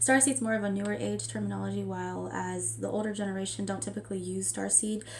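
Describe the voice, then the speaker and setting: A woman talks at a very fast pace with hardly any pauses, and room echo is audible. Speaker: spiritual tarot vlogger. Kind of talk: casual spiritual vlog talk. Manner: casual, filler-heavy.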